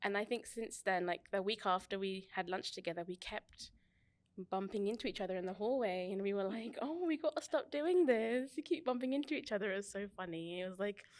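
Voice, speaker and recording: Lively intonation marks this woman's medium-pitched voice with a British accent. She talks at a fairly quick pace. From England, West London. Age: 30s. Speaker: physiotherapist. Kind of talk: casual interview chat.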